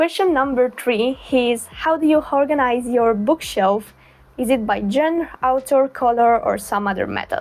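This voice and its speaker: A woman speaks in an Italian accent at a high pitch. Her pace is fairly slow, with ordinary pitch variation. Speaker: booktuber. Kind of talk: casual chat.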